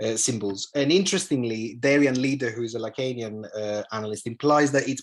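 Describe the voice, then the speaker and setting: A man with a Greek accent speaks at medium pitch and a fairly quick pace, with ordinary pitch variation. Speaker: analytical psychologist. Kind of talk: lecture. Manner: halting, many fillers and repetitions.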